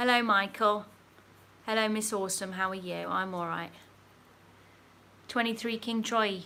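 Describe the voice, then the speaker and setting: With an English accent and a bright, sharp tone, a woman at medium pitch talks at a moderate pace in a flat, monotone way, leaving long, frequent pauses. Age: 30s. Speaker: YouTube narrator and streamer. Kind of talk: livestream chat, reading viewer comments.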